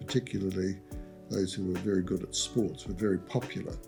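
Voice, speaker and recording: Music plays in the background as a man speaks with a very deep, low pitch. His pace is fairly quick and his intonation fairly even. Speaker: doctor. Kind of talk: interview answer.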